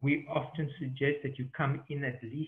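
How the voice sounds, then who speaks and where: With a South African accent, a man speaks at a fairly high pitch. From southern Africa. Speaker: safari tour operator. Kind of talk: online Q&A webinar. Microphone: connection dropped briefly.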